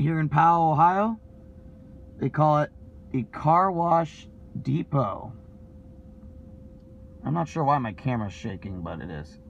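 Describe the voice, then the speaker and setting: At a moderate pace, a man speaks with lively intonation, big swings in loudness and long, frequent pauses, in a dry sound with no echo and light background noise. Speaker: vlogger. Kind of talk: casual vlog chat. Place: car. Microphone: phone near.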